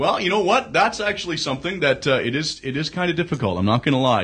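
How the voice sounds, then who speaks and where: A man speaks with a quiet background behind him. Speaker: radio DJ. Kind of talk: casual interview. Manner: conversational, hesitant with fillers.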